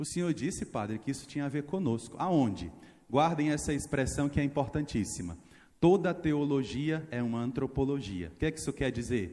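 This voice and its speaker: A man at a fairly high pitch, with lively intonation and a moderate pace. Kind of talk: sermon. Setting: church. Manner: animated.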